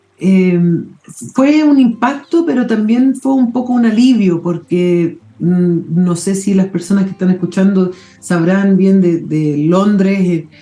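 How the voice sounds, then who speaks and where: The woman's intonation is lively, and noticeable background noise is present. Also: medium pitch for a woman, fairly slow pace. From London, England. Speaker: mycologist. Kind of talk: interview.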